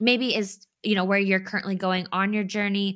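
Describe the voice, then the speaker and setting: In an enthusiastic tone, a woman speaks at a medium pitch on a very clean recording with a silent background. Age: 30s. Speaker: podcast host. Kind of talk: casual interview chat.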